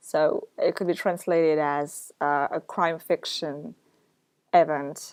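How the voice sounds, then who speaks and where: A woman with a French accent, fairly low in pitch, at a very slow pace with ordinary pitch variation. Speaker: book blogger. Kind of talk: casual vlog chat. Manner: hesitant, many fillers.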